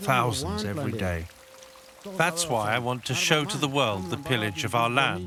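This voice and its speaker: Music plays in the background as a man speaks at a medium pitch with lively intonation. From Papua New Guinea. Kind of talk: documentary narration.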